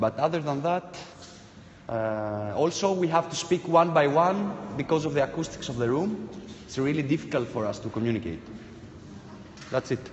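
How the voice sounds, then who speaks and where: Pausing long and often, a man speaks at a moderate pace with lively intonation over light background noise. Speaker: performance artist. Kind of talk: participatory live performance. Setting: live event with audience. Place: hall.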